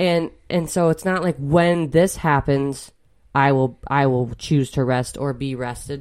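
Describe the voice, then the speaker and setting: A fairly slow pace and ordinary pitch variation on a very clean recording with a silent background. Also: woman. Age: 30s. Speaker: podcast co-host, mother of six. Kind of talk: casual chat.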